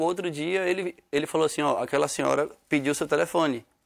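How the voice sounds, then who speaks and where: A man speaks against a quiet background. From Brazil, Northeast (Sergipe, Aracaju); Brazil. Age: young. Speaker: musician; guest. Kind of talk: TV interview. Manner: halting. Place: studio. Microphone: studio mic.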